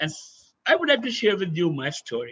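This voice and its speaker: A man with a high pitch speaks in a raised, projected voice at a moderate pace, his tone bright and sharp. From India. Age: 70s. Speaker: adventurer and former army officer. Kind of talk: webinar talk.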